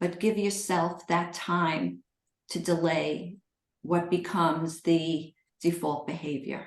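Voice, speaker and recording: The voice shows vocal fry and a monotone, flat intonation at a very slow pace. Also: woman, fairly low pitch for a woman. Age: 60s. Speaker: eating disorder recovery coach and author. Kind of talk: live Q&A coaching session.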